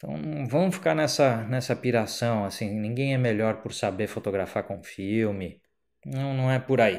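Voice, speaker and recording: A man speaks fairly slowly with lively intonation against a quiet background. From Brazil. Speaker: photographer and photography teacher; photography teacher. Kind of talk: educational vlog monologue. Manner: casual, conversational. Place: home room. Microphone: handheld.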